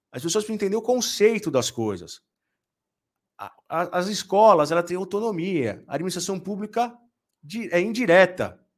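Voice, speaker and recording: Speaking at a moderate pace, a man with a high-pitched voice leaves long, frequent pauses. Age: 40s. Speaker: business lawyer and law professor. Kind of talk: casual interview chat.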